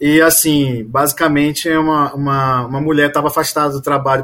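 With a bright, sharp tone, a man talks fairly quickly at a fairly high pitch in a flat, monotone intonation. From Pará, Brazil (Belém). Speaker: family doctor and university lecturer. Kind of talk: casual interview discussion.

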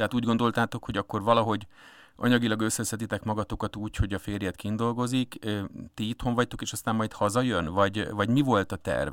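In a very clean recording with a silent background and a dry, close sound with no echo, a man with a fairly low pitch talks at a very fast pace with fairly even intonation. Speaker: radio host. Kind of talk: interview. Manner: hesitant, many fillers.

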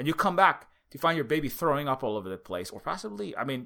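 In a Hawaiian accent, the voice is bright, sharp and animated, racing at a very fast pace with very wide pitch swings on a very clean recording with a silent background. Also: man. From Hawaii, Honolulu (Oahu). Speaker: activist and indie game developer. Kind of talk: interview. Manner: animated, halting with many fillers.

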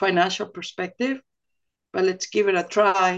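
Speaking in a flat monotone at a moderate pace, a woman with a Venezuelan accent holds a medium pitch. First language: Spanish. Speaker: oil company executive. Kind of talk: casual interview.

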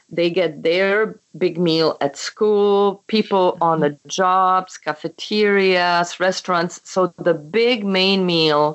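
The speech comes at a very slow pace in a Czech accent. Intonation stays fairly even. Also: woman. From Czechoslovakia. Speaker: memoir author. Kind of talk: casual interview chat. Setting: phone call.

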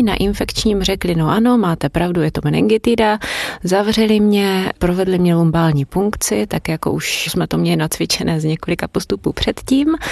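A woman talks at a moderate pace with hardly any pauses and ordinary pitch variation, over noticeable background noise. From Brno, Moravia, Czechia. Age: 30s. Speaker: foreign language teacher. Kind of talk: personal testimony.

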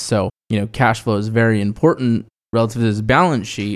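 An unremarkable speaking voice moves at a fairly quick pace with fairly even intonation. The recording is very clean, with a silent background. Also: man. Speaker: financial planner, podcast co-host. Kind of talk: casual chat about personal finance.

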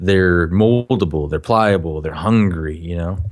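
A man speaks with ordinary pitch variation in a very deep, low voice. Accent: American. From Minnesota. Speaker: film director and producer. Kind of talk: interview conversation.

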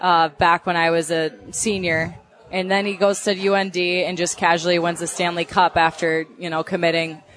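The speaker has a Minnesotan accent and moderate pace, with monotone, flat intonation. Noticeable background noise runs beneath the voice. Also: woman. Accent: Minnesota. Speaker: young sportscaster. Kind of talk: interview.

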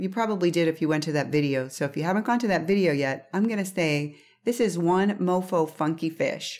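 Music plays in the background. A woman speaks at a fairly low pitch with ordinary pitch variation. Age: 50s. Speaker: seafood podcast host. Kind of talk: recipe instructions; solo podcast monologue. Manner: casual, chatty.

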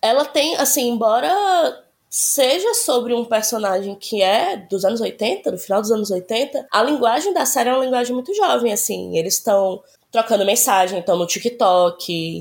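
With lively intonation, an unremarkable speaking voice keeps a moderate pace. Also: woman, fairly high pitch for a woman. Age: 30s. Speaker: podcast guest recommending a TV series. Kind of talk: casual chat.

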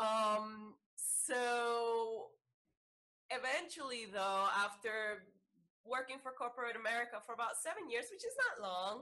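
With a Salvadoran accent, a woman speaks at a fairly high pitch. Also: ordinary pitch variation, fairly slow pace. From El Salvador. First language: Spanish. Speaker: yoga teacher and Reiki practitioner. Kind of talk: interview.

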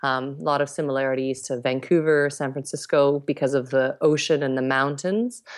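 This woman talks at a fairly quick pace in a Canadian accent, her very deep, low pitch held to a fairly even intonation with hardly any pauses. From Canada. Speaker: expat in South Africa. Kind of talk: interview.

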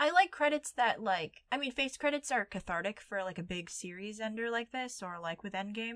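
A woman's plain, everyday voice, fairly high-pitched with lively intonation, fairly quick with hardly any pauses, in a dry, close sound with no echo. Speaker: podcast host. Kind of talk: casual chat.

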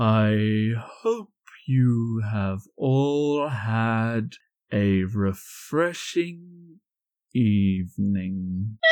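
Using a put-on character voice, a man talks at a medium pitch and a very slow pace. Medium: actual play. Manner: formal, polite.

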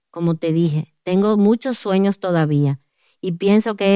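A woman's medium-pitched voice in a dark, mellow tone, fairly slow, with ordinary pitch variation, a dry, close sound with no echo and a very clean recording with a silent background. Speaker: author and women's ministry speaker. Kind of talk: testimony.

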